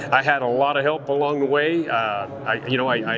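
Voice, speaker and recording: Noticeable background noise sits behind a man speaking. His voice is fairly high, and his intonation stays fairly even. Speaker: world champion auctioneer and livestock video market rep. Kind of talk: interview answer.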